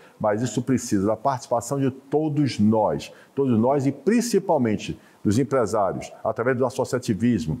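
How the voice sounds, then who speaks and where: In a dark, mellow tone, a man speaks at a medium pitch and a moderate pace. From Brazil, Bahia (Salvador). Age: 60s. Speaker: business association president. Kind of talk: TV interview.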